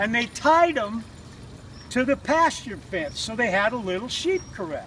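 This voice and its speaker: A man's extremely high voice with very wide pitch swings at a very slow pace, over noticeable background noise. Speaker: storyteller. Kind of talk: campfire story. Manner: casual, folksy.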